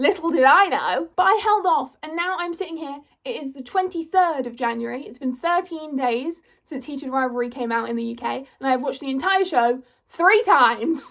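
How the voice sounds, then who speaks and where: Speaking in a British accent, a woman has a high pitch and lively intonation. She talks at a fairly quick pace, with big swings in loudness. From England. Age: 20s. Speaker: YouTuber. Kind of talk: casual vlog monologue. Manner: animated.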